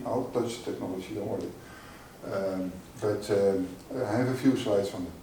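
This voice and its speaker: A man's rather quick speech amid clear room echo and a fair amount of background noise. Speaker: industry researcher. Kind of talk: conference talk. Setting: conference stage with audience. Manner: loud; halting.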